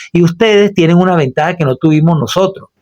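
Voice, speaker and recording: A man's normal speaking voice, fairly high in pitch, at a fairly quick pace, with a dry, close sound and no echo. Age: 60s. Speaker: radio host and political commentator. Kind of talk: solo radio commentary. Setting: radio studio booth. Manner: formal.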